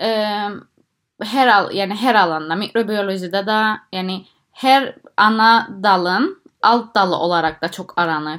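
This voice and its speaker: The recording is very clean, with a silent background. A woman speaks at a very slow pace, her medium pitch varying in an ordinary way. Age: 20s. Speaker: PhD student in microbiology. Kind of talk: interview. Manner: halting, many fillers.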